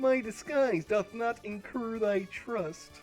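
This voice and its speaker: A put-on character voice moves at a fairly slow pace. Music plays clearly in the background. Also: woman, fairly high pitch for a woman. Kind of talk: archaic, medieval. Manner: acted, playful.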